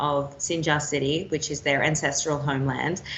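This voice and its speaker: Someone speaks at a moderate pace in an Australian accent, with noticeable background noise behind the voice. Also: woman. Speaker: war and foreign correspondent. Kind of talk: interview answer.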